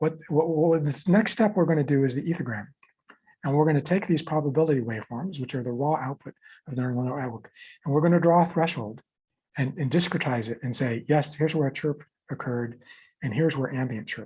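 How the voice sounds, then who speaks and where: A man talks at a very fast pace in a dark, mellow tone. His voice is somewhat breathy and fairly high-pitched, with ordinary pitch variation. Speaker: software developer giving a demo. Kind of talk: technical tutorial demo. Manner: repetitive, halting.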